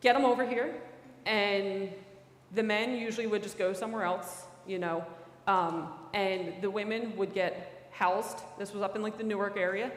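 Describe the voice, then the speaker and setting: Audible room echo and noticeable background noise surround a woman speaking at a moderate pace. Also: medium pitch for a woman, fairly even intonation. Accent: Philadelphia. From Philadelphia, US. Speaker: federal special agent. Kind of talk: talk to a church audience. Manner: casual, many fillers.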